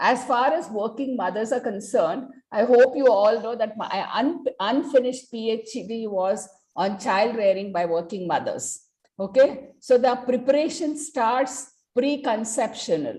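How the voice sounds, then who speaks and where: At a fairly slow pace, a woman speaks in a fairly high voice with a dark, mellow tone. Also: ordinary pitch variation. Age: 60s. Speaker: senior doctor. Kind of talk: panel discussion.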